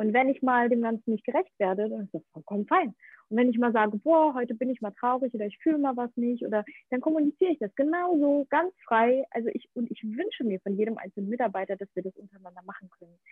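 A woman talks very fast in a high voice with lively intonation. Her loudness swings in big jumps. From Ukraine-born, grew up in Germany. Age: 30s. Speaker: actress and podcaster. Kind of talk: interview. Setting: remote call from Bali to Berlin. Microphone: poor connection, sound not always optimal.

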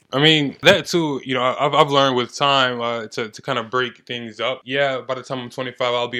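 A man's medium-pitched voice, bright and sharp in tone, with fairly even intonation at a moderate pace. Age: 20s. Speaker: amateur fighter, gym athlete. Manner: calm, chill, confident.

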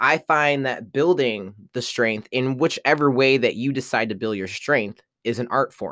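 The delivery is animated and fairly slow, with hardly any pauses. The recording is very clean, with a silent background. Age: 30s. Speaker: podcast host. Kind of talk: casual monologue.

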